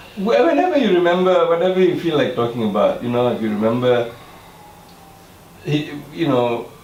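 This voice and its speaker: A fairly high-pitched man at a fairly quick pace, with very wide pitch swings and long, frequent pauses, amid noticeable background noise and audible room echo. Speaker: artist, interviewer. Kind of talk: interview. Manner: loud.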